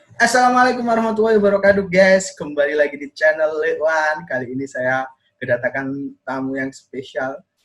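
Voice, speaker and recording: The speaker talks at a fairly quick pace with big swings in loudness. The pitch swings very widely. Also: man, fairly high pitch for a man. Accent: Javanese. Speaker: video podcast host. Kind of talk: casual chat.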